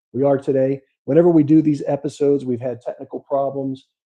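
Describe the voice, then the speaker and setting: A man speaks with a Pittsburgh accent. His pace is fairly quick and his intonation monotone and flat. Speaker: podcast host and money manager. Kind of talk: casual podcast chat about markets. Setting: live stream studio. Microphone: audio auto-adjust problems on the mic.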